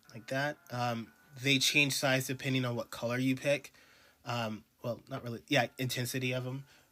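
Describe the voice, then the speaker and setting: Over music in the background, a man talks at a moderate pace and medium pitch in a monotone, flat intonation. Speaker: artist streaming drawing. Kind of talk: casual live-stream commentary. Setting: live stream while drawing. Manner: hesitant, many ums.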